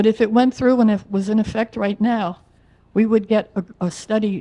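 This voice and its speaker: A woman with a dark, mellow tone and an American accent. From New Jersey (Woodbridge, Central Jersey). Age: 70s. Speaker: resident speaking at public comment. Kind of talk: public comment at council meeting. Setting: council meeting. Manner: halting.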